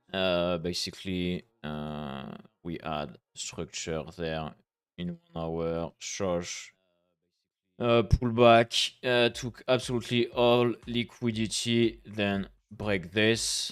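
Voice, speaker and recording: In a French accent, a man speaks at a very slow pace. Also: fairly low pitch for a man, ordinary pitch variation. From France. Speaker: forex trader streamer. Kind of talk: live trading stream commentary. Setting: live stream. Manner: halting, many fillers.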